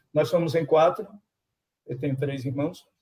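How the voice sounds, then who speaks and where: Speaking at a moderate pace, a man with a northeastern Brazilian accent has a fairly high pitch. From Brazil, Sergipe (Itabi, Aracaju). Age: 60s. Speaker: teacher. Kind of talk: casual chat.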